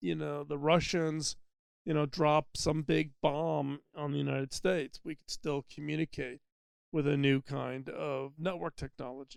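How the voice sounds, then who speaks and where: A normal speaking voice belongs to a man with a fairly high pitch and fairly even intonation. He speaks at a fairly slow pace in a dry, close sound with no echo. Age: 60s. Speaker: podcast host. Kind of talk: solo podcast monologue. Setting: mobile studio. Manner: conversational with fillers.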